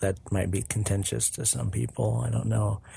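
A man with a fairly low pitch and a dark, mellow tone talks in a somewhat breathy voice, his pitch swinging very widely. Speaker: podcast host. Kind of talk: casual solo monologue.

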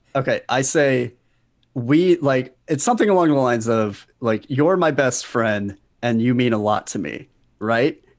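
An unremarkable speaking voice comes from a man of medium pitch at a fairly slow pace, with ordinary pitch variation. The recording is very clean, with a silent background. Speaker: comedian and writer. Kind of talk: casual chat.

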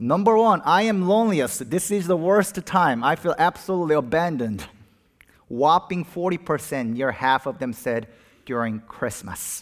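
This is a man with a fairly high pitch. His pitch swings very widely. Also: moderate pace. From Korea. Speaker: pastor. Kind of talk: sermon. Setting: church.

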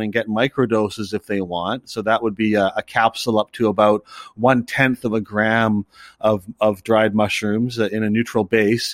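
At a moderate pace and medium pitch, a man talks in an unremarkable speaking voice, the sound dry and close with no echo. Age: 50s. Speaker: cafe owner and drug policy activist. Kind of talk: interview.

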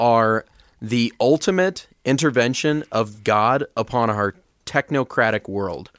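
Recorded very cleanly over a silent background, a man speaks at medium pitch in a dry, close sound with no echo. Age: 20s. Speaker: seminarian, podcast co-host. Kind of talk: casual chat.

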